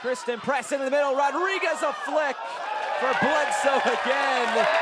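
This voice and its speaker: Over noticeable background noise, a man talks at a fairly slow pace with an extremely high pitch and ordinary pitch variation. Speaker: sports play-by-play announcer. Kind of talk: live sports play-by-play commentary. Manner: excited, energetic.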